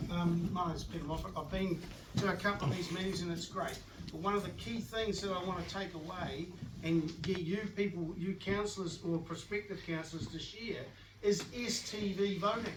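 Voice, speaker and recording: A man with a high-pitched voice speaks at a moderate pace with fairly even intonation. Audible room echo and noticeable background noise are present. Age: 60s. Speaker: audience member. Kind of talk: public meeting question. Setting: community hall meeting.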